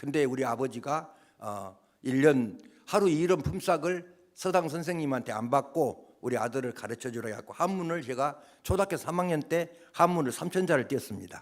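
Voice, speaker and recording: A man whose pitch is fairly high speaks at a moderate pace, his intonation lively. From Jeolla, Gwangju area, Korea. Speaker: pastor. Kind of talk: sermon. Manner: animated.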